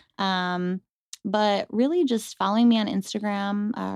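A woman with a Western New York accent speaks at a moderate pace. The recording is very clean with a silent background and a dry, close sound with no echo. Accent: Western New York (Inland North) American. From Western New York, Rochester. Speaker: food trailer owner and cannabis activist. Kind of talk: casual interview.

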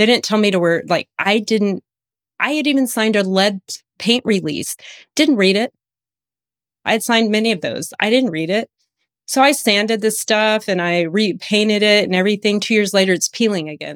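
On a very clean recording with a silent background and a dry, close sound with no echo, a woman with an American accent speaks at medium pitch with ordinary pitch variation. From USA. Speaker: functional medicine practitioner. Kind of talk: personal testimony in interview. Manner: fast; animated.

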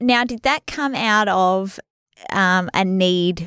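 Speaking very slowly with lively intonation, a woman with an Australian accent uses a medium pitch on a very clean recording with a silent background. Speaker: podcast co-host. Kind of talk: casual chat. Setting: studio.

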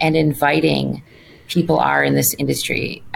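A woman speaks with an Upper Midwest accent. Her pace is moderate. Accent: Upper Midwest American. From Wisconsin, suburb of Milwaukee. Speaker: trade association president. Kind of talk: interview. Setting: office.

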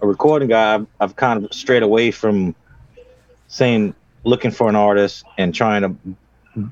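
With an ordinary speaking voice, a man talks at medium pitch and a moderate pace, his intonation fairly even and the sound dry and close with no echo. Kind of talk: casual chat. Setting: home studio.

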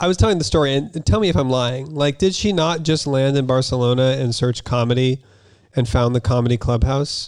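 A man speaks fairly quickly at a medium pitch, with ordinary pitch variation and very even loudness. It is a plain, everyday voice. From US, Utah. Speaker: comedian. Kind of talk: casual chat.

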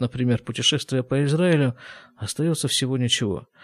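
On a very clean recording with a silent background, a man with a plain, everyday voice speaks in a medium pitch with ordinary pitch variation. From former Soviet Union. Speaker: podcast host, physician. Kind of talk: reading aloud own old letters with commentary.

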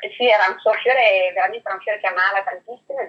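Speaking very fast, a woman keeps to a medium pitch. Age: 50s. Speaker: perfume brand training manager. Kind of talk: interview.

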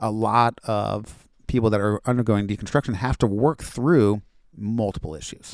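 In a dry, close recording with no echo and a very clean, silent background, a man speaks at a moderate pace in an ordinary speaking voice, fairly low-pitched with ordinary pitch variation. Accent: American. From Florida, US. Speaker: high school Bible teacher. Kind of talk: casual interview conversation.

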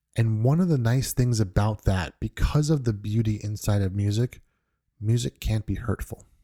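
On a very clean, silent-background recording with a dry, close sound and no echo, a man with an American accent speaks at a moderate pace and fairly low pitch, his dark, mellow tone somewhat breathy, with ordinary pitch variation. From New York. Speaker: music podcast host. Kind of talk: podcast monologue. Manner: halting, with frequent repetitions.

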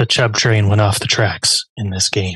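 A man uses a raspy, put-on character voice at a fairly low pitch. He speaks at a moderate pace.

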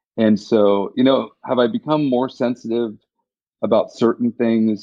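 In a plain, everyday voice, a man talks at a moderate pace and a medium pitch with ordinary pitch variation. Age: 50s. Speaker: cancer survivor and HPV vaccine advocate. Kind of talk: interview.

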